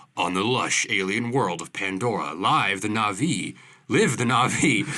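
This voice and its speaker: Putting on a character voice, a man sounds raspy and fairly low-pitched. His delivery keeps to a moderate pace. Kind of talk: epic movie announcer. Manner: dramatic, grandiose.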